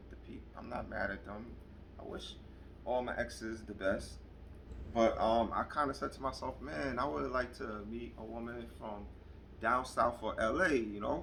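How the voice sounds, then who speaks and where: A man speaks with a New York accent, his loudness swinging widely. Audible room echo and noticeable background noise surround his voice. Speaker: vlogger. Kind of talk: casual chat. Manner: animated.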